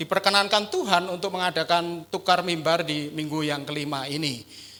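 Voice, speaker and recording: Speaking at a moderate pace, a man with a strong Javanese accent has a high pitch, ordinary pitch variation and a bright, sharp tone. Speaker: pastor. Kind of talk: sermon. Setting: church.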